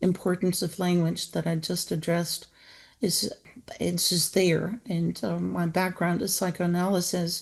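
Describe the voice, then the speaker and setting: Against a quiet background, a woman with a fairly low pitch speaks at a fairly slow pace, somewhat breathy and with monotone, flat intonation. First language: not English. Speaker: author and equine-assisted therapy practitioner. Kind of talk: book introduction talk. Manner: halting.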